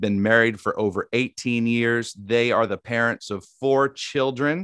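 The sound is dry and close with no echo, over a quiet background. A man speaks in a Southern US accent. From Tennessee. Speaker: podcast host. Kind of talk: interview with prayer, faith conversation. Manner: warm, friendly, conversational.

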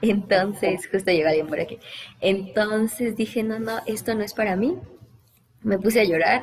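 A woman speaks in a fairly high pitch with ordinary pitch variation. Her voice is somewhat breathy. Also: moderate pace. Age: 20s. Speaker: TV news reporter. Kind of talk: casual interview.

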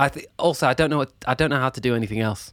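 A man's medium-pitched voice, with ordinary pitch variation, is captured in a very clean recording against a silent background. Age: 30s. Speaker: musician and producer. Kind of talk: casual chat.

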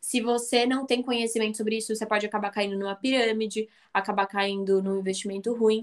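At a very fast pace, a woman talks in a fairly high pitch with monotone, flat intonation. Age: 20s. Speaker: business student and founder of a women's investing channel. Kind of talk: casual interview.

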